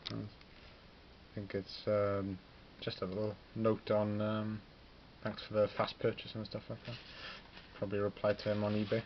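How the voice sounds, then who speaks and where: A man with a Welsh accent talks at a moderate pace with a fairly low pitch, monotone, flat intonation and long, frequent pauses. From Wales, Pembrokeshire. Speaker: hobbyist wargamer, student. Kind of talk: casual vlog ramble. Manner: casual, hesitant with fillers.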